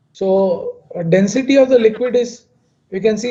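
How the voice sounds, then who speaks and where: A man speaks loudly in a dark, mellow tone. His pace is fairly slow, with ordinary pitch variation. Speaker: chemical engineer. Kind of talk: lecture. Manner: halting.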